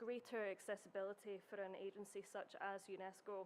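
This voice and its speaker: A woman with a Scottish accent and monotone, flat intonation. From Scotland. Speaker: heritage researcher. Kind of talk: conference presentation. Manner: formal.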